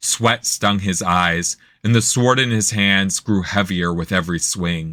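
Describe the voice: A plain read-aloud, its pitch varying in an ordinary way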